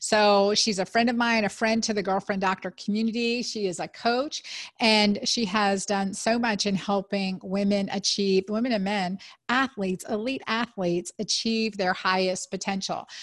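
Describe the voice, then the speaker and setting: With hardly any pauses, a woman of medium pitch talks at a moderate pace with fairly even intonation, very even loudness and an unremarkable speaking voice. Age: 50s. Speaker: physician and podcast host. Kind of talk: casual interview.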